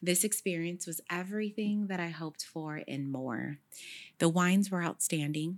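A woman with an American accent and an unremarkable speaking voice, fairly low in pitch, with ordinary pitch variation at a moderate pace, on a very clean recording with a silent background. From Sacramento, California. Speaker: podcast host. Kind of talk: scripted narration; casual chat.

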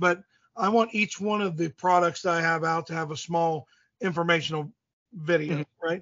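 Speaking at a moderate pace, a man with a Midwestern American accent uses a high pitch and fairly even intonation. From US Midwest, southeast Indiana. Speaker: archery gear maker. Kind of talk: casual interview. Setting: phone call. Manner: rambling.

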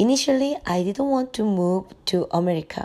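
A woman at a medium pitch and fairly slow pace, with ordinary pitch variation, in a very clean recording with a silent background. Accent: Korean. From South Korea. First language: Korean. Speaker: mother, immigrant. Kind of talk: interview answers.

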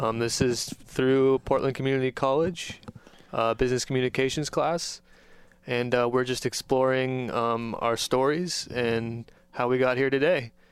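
A man's plain, everyday voice at a medium pitch and moderate pace, with a dry, close sound with no echo. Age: 20s. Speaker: student podcast host. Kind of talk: podcast intro.

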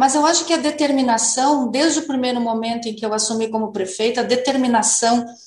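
This woman's voice is high in pitch. The room echo is audible. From Novo Hamburgo, Rio Grande do Sul, Brazil. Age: 50s. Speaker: mayor. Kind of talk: radio interview.

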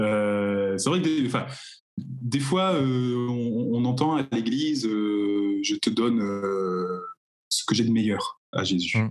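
This man talks very slowly. His intonation is lively. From Normandy, France (Cherbourg, Cotentin). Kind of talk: casual chat.

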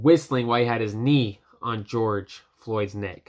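Speaking at a medium pitch, this man has an American accent. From United States. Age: young. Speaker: podcast host. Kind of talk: solo commentary. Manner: impassioned; halting.

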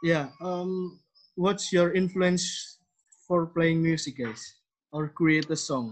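The speaker, with an Indonesian accent, talks at a very slow pace with ordinary pitch variation. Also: man, high pitch for a man. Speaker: podcast host. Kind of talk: casual interview. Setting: video call. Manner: halting, many fillers.

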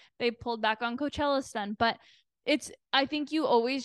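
A woman with a Canadian accent and a high pitch talks at a fairly quick pace, the sound dry and close with no echo and the background quiet. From Canada, Toronto. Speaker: PR agency owner and podcaster. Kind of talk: casual interview chat.

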